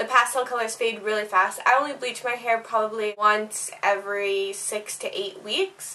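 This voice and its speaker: A woman with a fairly high pitch and fairly even intonation speaks over noticeable background noise. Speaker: beauty vlogger. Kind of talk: tutorial. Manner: casual, rambling.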